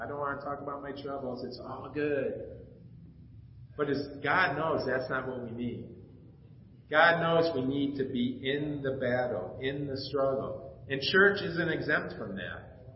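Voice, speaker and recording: A man's fairly high voice, fairly slow and fairly even in intonation, with audible room echo and noticeable background noise. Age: 50s. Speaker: pastor. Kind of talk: sermon. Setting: church. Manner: casual.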